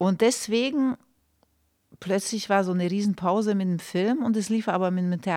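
A woman with a Hungarian accent, medium pitch and a dark, mellow tone, at a fairly slow pace with ordinary pitch variation, on a very clean recording with a silent background. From Romania, Hungarian minority. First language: Hungarian (speaking German). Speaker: film and theatre director. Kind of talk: casual interview. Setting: studio.

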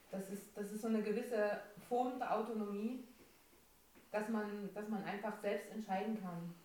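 With audible room echo, a woman of medium pitch speaks in a dark, mellow tone at a moderate pace, her intonation flat and monotone and her pauses long and frequent. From Dresden, Saxony, Germany. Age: 20s. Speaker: trainee childcare educator. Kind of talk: casual chat. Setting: home kitchen studio.

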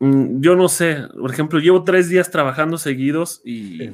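A man with a normal speaking voice talks at a fairly slow pace. His pitch variation is ordinary. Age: 30s. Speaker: podcast host, teacher. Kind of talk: casual chat. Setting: video call livestream.

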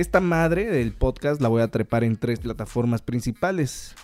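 The voice has a dark, mellow tone and lively intonation, with a dry, close sound and no echo. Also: man. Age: 20s. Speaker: podcast host, drummer. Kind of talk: casual monologue.

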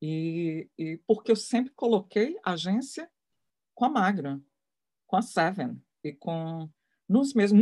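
This voice has a somewhat breathy quality. It belongs to a woman. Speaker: photography mentor and curator. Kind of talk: live interview.

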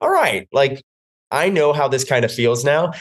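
A man with an American accent uses a normal speaking voice at a fairly quick pace. His pitch varies in an ordinary way, and the background is quiet. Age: 30s. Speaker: fitness instructor. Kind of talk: casual chat.

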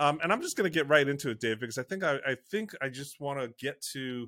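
A man with an ordinary speaking voice speaks at a moderate pace and a fairly high pitch, with ordinary pitch variation. The recording is very clean and silent in the background, with a dry, close sound and no echo. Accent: American. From United States. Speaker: podcast host, church online consultant. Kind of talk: casual interview chat.

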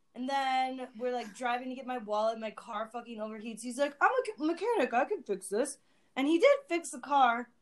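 A woman's high-pitched voice at a fairly quick pace, with ordinary pitch variation and big swings in loudness. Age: 30s. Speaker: photo stylist. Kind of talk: casual chat.

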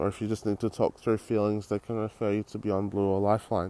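A man with an Australian accent, fairly low in pitch, with fairly even intonation. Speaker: podcast host. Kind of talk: casual monologue. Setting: outdoors on a street.

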